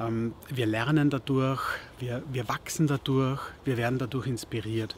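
At a moderate pace, a man talks with fairly even intonation in a dry sound with no echo and light background noise. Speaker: podcaster. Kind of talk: advice talk to camera. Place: garden.

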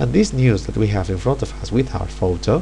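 A man speaks at a moderate pace in a very deep, low voice over noticeable background noise. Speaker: teacher. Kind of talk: software tutorial narration.

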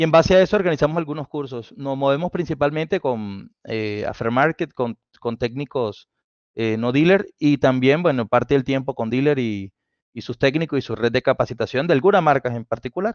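A man with a Colombian accent, fairly high in pitch, at a moderate pace with ordinary pitch variation, dry sound with no echo and a quiet background. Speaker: automotive engineer and instructor; instructor. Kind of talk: technical talk on live stream. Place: home room. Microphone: headset.

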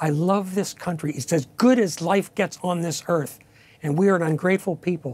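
A man with an American accent speaks at a moderate pace in a high voice, his pitch varying in an ordinary way. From Pennsylvania coal region. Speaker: retired army officer and author; analyst. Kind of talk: TV news interview. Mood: passionate, indignant. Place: studio.

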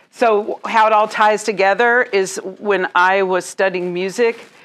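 This is a woman speaking. Her pitch sits at a medium level. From US South, Jackson, Mississippi; Mississippi. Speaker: mortgage loan officer, former opera singer; interviewee. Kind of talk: interview at networking group. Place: home room.

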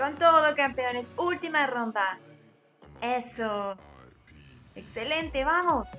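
A woman speaks at a very slow pace in a raised, projected voice. Faint music plays in the background. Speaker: fitness instructor. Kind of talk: workout coaching cues.

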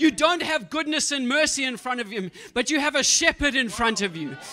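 A man speaks at a fairly quick pace, his voice raised and projected. His tone is animated and his pitch is extremely high. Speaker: preacher. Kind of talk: sermon. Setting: church. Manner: animated, exhorting. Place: church. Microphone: handheld.

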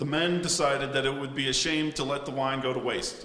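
Through light background noise and audible room echo, a man talks at a fairly quick pace with fairly even intonation. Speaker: ceremony narrator. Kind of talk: formal ceremonial narration. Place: hall.

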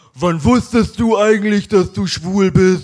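A high-pitched, fairly slow put-on character voice from a man. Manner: mock-straight put-on.

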